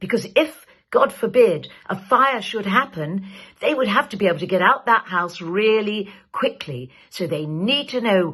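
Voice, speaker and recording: This woman's somewhat breathy, warm voice sits at a medium pitch and swings very widely in pitch as she speaks at a fairly slow pace. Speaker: actor. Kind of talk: public safety message to camera. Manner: warm, friendly.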